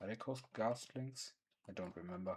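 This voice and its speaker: A man is speaking. His accent is non-native. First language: not English. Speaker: streamer. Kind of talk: gaming livestream commentary. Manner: halting, stumbling over words.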